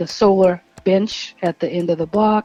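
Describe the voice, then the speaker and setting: The speaker is a woman. Her voice sits at a medium pitch, with music in the background. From New Orleans. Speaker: city council candidate. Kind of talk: interview. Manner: halting.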